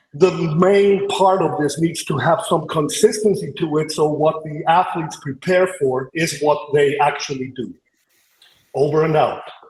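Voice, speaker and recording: With an Icelandic accent, a man talks at a fairly slow pace in a fairly high voice, using ordinary pitch variation. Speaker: podcast panelist, athlete coach. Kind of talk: panel debate argument. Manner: hesitant, with filler sounds.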